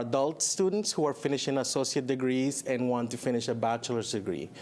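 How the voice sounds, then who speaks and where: Noticeable background noise sits behind a man with a Spanish accent. He speaks at medium pitch and a fairly quick pace, with ordinary pitch variation. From Chile. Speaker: college program director. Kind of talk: TV interview.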